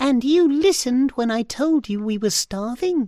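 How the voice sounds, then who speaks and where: A female-sounding put-on character voice, pitched high. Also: moderate pace. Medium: read story. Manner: friendly, reassuring.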